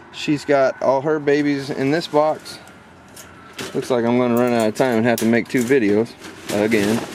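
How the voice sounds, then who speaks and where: A man talks at a moderate pace with very even loudness and fairly even intonation, pausing long and often. Light background noise can be heard. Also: dry sound with no echo. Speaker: rabbit breeder. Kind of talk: casual video tour. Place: farm machine. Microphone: phone near.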